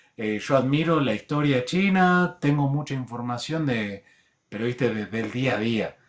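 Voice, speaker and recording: A man speaks at a fairly slow pace in a plain, everyday voice, with ordinary pitch variation. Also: medium pitch for a man. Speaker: show host. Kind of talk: casual debate.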